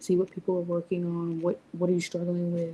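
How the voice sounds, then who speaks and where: A woman's soft-spoken whisper, somewhat breathy. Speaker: business mentor and live streamer. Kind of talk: live stream chat. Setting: live stream at home at night. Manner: whispering, soft-spoken; halting, many fillers.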